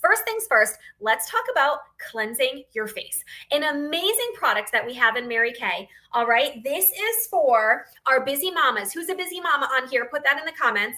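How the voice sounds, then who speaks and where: A woman with an American accent speaks in a raised, projected voice at a high pitch. Her pitch swings very widely. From northeastern Pennsylvania, near Scranton. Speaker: beauty sales consultant. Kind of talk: sales pitch on a livestream. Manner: fast; animated.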